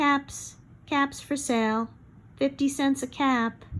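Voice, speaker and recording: Putting on a character voice, a woman speaks high and monotone, with flat intonation at a fairly slow pace. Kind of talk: bedtime story. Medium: read story.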